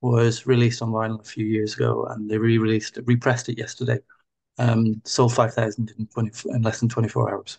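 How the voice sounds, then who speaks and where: A man with an Irish accent, speaking at a fairly quick pace in a monotone, flat intonation. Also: medium pitch for a man. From Ireland, near Dublin. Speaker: podcast host. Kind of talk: casual interview chat.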